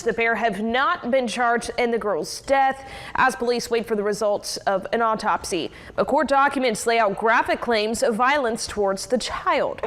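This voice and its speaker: The pace is moderate and the pitch varies in an ordinary way. Background noise is noticeable. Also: woman, fairly high pitch for a woman. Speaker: TV news anchor. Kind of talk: TV news read. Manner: energetic.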